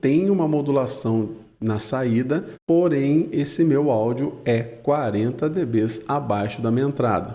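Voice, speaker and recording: A man talks with lively intonation and a fairly high pitch. His tone is dark and mellow. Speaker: audio engineer teaching a mixer course. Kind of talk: tutorial. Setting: studio, live stream. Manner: speaks very softly in parts to demo the gate.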